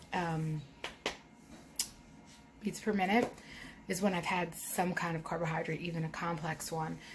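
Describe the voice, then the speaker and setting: Noticeable background noise sits behind a woman with an American accent. Her pitch is fairly low, with ordinary variation. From Philadelphia. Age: 30s. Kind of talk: casual vlog talk to camera.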